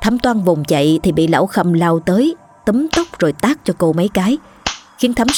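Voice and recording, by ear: The speaker reads aloud in a natural voice. Intonation rises and falls in a lively way.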